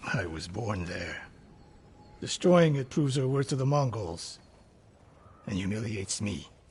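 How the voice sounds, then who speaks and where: Putting on a raspy character voice, a man of medium pitch moves at a moderate pace with very wide pitch swings and long, frequent pauses. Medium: video game. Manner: terse, grave.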